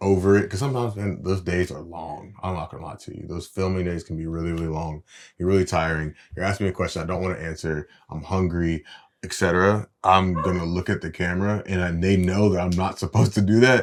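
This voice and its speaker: A man's very deep, low voice at a very fast pace, with big swings in loudness, in a very clean recording with a silent background. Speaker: reality TV cast member and course co-host. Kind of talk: instructional casual chat. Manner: even, little pitch variation; louder when excited.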